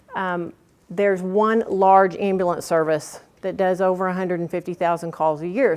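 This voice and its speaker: This woman talks at a fairly quick pace with a medium-pitched voice. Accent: slight Oklahoma. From Oklahoma. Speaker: workshop presenter. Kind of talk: workshop presentation. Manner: animated.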